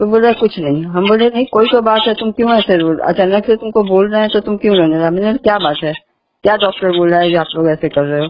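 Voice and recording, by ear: A woman's medium-pitched voice with a slightly mellow tone at a fast pace. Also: ordinary pitch variation.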